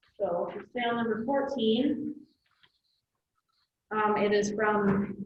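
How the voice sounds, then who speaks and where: A soft-spoken woman talks at a very slow pace, leaving long, frequent pauses. Her voice is somewhat breathy, with fairly even intonation. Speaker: county staff reading bids. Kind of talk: public meeting.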